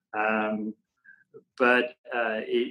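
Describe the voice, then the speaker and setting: This is a man speaking. He has a French accent. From France, Paris area. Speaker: sustainability entrepreneur. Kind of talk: podcast interview. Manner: halting, many fillers and repeats.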